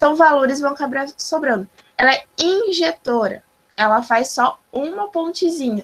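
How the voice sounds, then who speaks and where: A woman's high voice moves with lively intonation as she talks at a fairly slow pace. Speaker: math teacher. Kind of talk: online lecture. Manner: animated.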